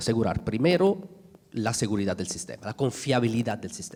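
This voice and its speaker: With an Italian accent, a man speaks at a medium pitch in a dark, mellow tone, his pitch swinging very widely. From Italy. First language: Italian (speaking Spanish). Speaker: energy sector panelist. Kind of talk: conference panel talk. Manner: halting, many fillers and restarts.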